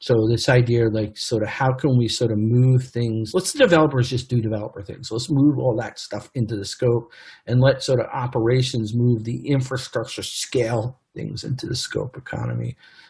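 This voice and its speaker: A man speaks at medium pitch in a somewhat breathy voice with fairly even intonation and hardly any pauses. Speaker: tech executive and conference speaker. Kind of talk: conference presentation. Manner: fast; halting, many fillers.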